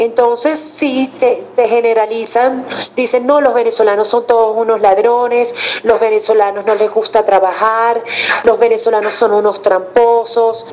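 Over noticeable background noise, a woman with a fairly high pitch speaks at a fairly slow pace with monotone, flat intonation and very even loudness. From Venezuela. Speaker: journalist, host, announcer. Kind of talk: interview answer.

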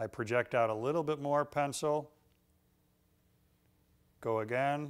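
A man speaks at medium pitch with ordinary pitch variation. His tone is clear and smooth, and his pace fairly slow.

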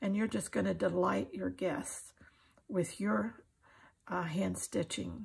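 A woman speaks slowly in an American accent at a medium pitch, with ordinary pitch variation. Her voice has a husky, rough edge and vocal fry.

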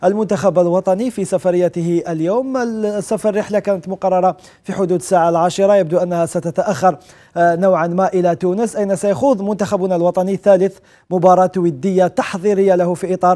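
Against a quiet background, a man with a high pitch talks at a moderate pace with fairly even intonation. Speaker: sports journalist guest. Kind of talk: news commentary. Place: studio. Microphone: lapel.

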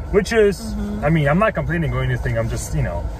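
Noticeable background noise in a dry sound with no echo. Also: man. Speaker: vlogger. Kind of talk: casual vlog chat. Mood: relaxed, slightly wistful. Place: car. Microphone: phone near.

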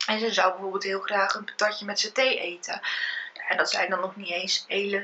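A woman with monotone, flat intonation at a moderate pace over light background noise. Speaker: vlogger. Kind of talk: casual vlog chat. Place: home room. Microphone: phone near.

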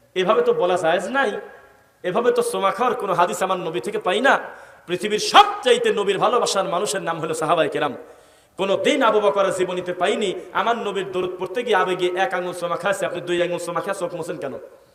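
A man speaks with a high pitch. Noticeable background noise runs under his voice. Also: ordinary pitch variation. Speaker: Islamic preacher giving a waz sermon. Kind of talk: Bangla Islamic waz sermon to a congregation. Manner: rhetorical, preachy, engaging the audience with questions.

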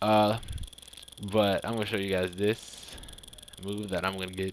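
A man's fairly low, monotone voice with flat intonation against noticeable background noise. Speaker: gaming YouTuber. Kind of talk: gameplay commentary. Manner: fast.

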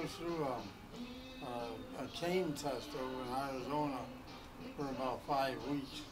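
Over clear music in the background, a man speaks at a fairly slow pace with long, frequent pauses. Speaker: war veteran. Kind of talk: casual conversation. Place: shop. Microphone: camera far.

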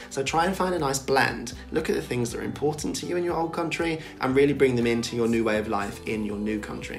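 Clear music plays in the background as a man with a British accent speaks at a very fast pace with ordinary pitch variation. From Britain. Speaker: vlogger. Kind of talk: casual talk to camera. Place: home room.

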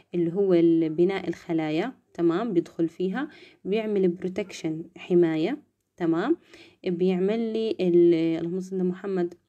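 Against a quiet background, a woman talks at a fairly slow pace. Her dark, mellow voice sits at a medium pitch with ordinary pitch variation. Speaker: nursing student tutor. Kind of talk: lecture. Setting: live stream. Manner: soft-spoken; casual. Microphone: phone near.

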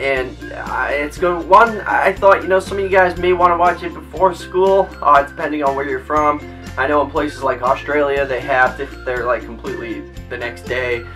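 A man talks at a moderate pace. Clear music is in the background. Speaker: youtuber. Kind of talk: casual vlog chat. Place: home room.

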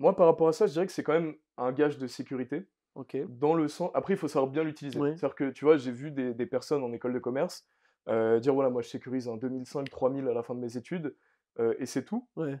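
A man's dark, mellow voice at a very fast pace, with ordinary pitch variation over a quiet background. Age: 20s. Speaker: entrepreneur; podcast guest. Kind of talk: interview. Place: home room.

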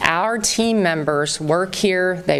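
Noticeable background noise and audible room echo surround a woman speaking with a slight Southern US accent. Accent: slight Southern twang at times. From US South, Southern Virginia. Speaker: real estate company representative. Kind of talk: public town hall address. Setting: town hall meeting with large audience. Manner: warm, informal with fillers.

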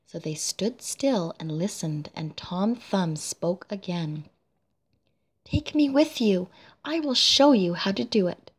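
A somewhat breathy woman speaks at a very slow pace, her pitch swinging very widely. The recording is very clean, with a silent background. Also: medium pitch for a woman. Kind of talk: read fairy tale. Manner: soft-spoken.

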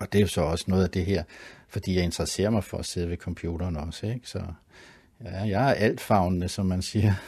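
With a very deep, low pitch and a dark, mellow tone, a man speaks somewhat breathily at a fairly quick pace, his intonation fairly even. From Copenhagen, Denmark (Sydhavnen). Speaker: artist and graphic designer. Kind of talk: interview. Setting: home studio. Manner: halting, many fillers and repeats.

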